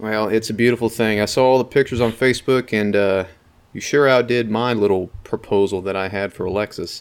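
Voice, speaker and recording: A man talks in a plain, everyday voice, fairly low in pitch, at a fairly quick pace with fairly even intonation. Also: very clean recording, silent background. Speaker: podcast co-host. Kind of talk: casual chat.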